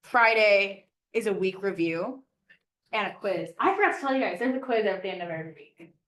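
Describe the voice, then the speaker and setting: A woman with an ordinary speaking voice talks at a fairly quick pace and medium pitch, showing ordinary pitch variation and big swings in loudness. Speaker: flight ground school instructor. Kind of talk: classroom lecture.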